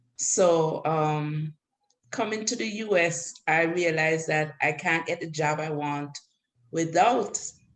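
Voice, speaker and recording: With a Caribbean accent, a woman speaks at a very slow pace and a very deep, low pitch. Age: 60s. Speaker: adult student. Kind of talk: panel discussion.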